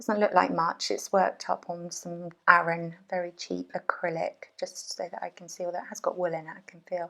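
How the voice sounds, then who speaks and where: A woman's fairly low, mumbling voice, monotone and fairly quick, with big swings in loudness. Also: hardly any pauses. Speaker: crochet designer and workshop teacher. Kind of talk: casual podcast talk to camera. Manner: hesitant, mumbling.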